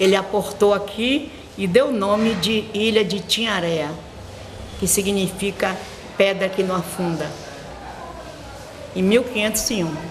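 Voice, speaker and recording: Amid audible room echo and noticeable background noise, a woman at medium pitch talks at a fairly slow pace with ordinary pitch variation and long, frequent pauses. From Brazil, Bahia (Morro de São Paulo). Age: 80s+. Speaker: schoolteacher and local historian. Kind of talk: interview, oral history.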